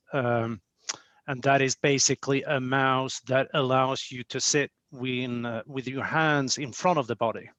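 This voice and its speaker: A man in a Swedish accent speaks at a fairly slow pace with medium pitch. His intonation is fairly even, and the sound is dry and close with no echo. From Sweden. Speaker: company executive. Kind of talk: podcast interview.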